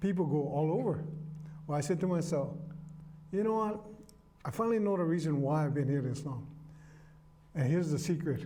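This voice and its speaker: In a room with audible echo, a man talks at a fairly quick pace and fairly high pitch, with very even loudness and long, frequent pauses. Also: ordinary pitch variation. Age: 60s. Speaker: market musician. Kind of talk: casual interview chat.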